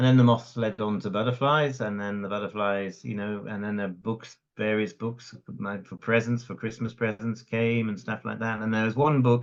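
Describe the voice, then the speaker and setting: In a Welsh accent, a man speaks at a moderate pace with a fairly low pitch, fairly even intonation, and hardly any pauses. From Wales (Cardiff, raised in North Wales). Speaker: conservationist. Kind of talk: interview. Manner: halting, repeats words.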